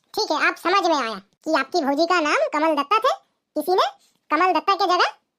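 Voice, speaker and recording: A woman's cartoonish character voice, squeaky and extremely high-pitched, with lively intonation. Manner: polite, formal.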